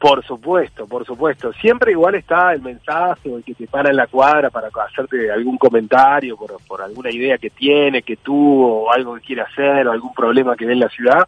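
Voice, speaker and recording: In a plain, everyday voice, a man speaks at a moderate pace and medium pitch with ordinary pitch variation, big swings in loudness and hardly any pauses. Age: 30s. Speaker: politician. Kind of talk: interview.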